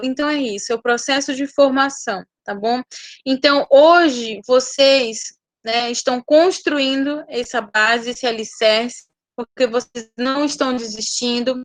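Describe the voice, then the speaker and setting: Delivered at a fairly slow pace with fairly even intonation, the voice has a dry, close sound with no echo. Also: woman. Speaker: nursing teacher. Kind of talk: online lecture.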